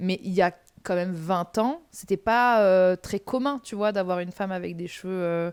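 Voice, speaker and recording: A woman talks at a moderate pace with a medium pitch and ordinary pitch variation, recorded very cleanly over a silent background. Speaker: podcast host. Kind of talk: casual chat. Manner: loud; animated.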